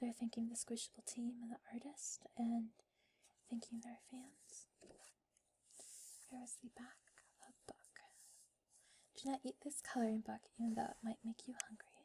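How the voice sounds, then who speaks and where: The speaker is soft-spoken, leaving long, frequent pauses. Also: moderate pace. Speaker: ASMR creator. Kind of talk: ASMR casual talk.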